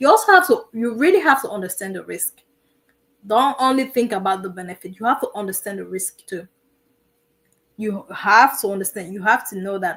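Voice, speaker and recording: Lively intonation from a woman at a moderate pace, her voice fairly high. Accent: non-native. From immigrant to the US. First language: not English. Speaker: military veteran and streamer. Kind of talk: live stream advice talk. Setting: live stream. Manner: repetitive, emphatic.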